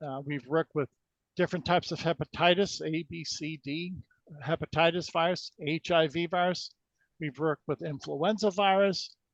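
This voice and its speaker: This man has a high pitch and talks at a moderate pace. The sound is dry and close with no echo, over a quiet background. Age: 60s. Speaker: energy healing researcher. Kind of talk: interview. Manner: halting.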